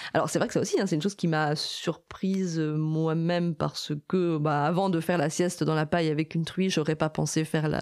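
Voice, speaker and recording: Hardly pausing, a woman with a fairly low voice talks at a fairly quick pace with fairly even intonation. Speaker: animal sanctuary volunteer. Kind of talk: interview. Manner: loud.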